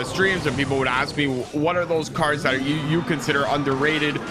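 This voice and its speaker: A man speaks at a fairly high pitch, with ordinary pitch variation. Noticeable background noise and audible room echo are present. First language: not English. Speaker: esports caster. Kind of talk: live commentary.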